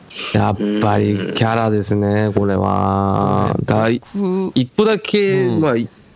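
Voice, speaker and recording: A man's voice against noticeable background noise. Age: 30s. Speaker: podcast co-host, amateur band member. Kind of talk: casual chat.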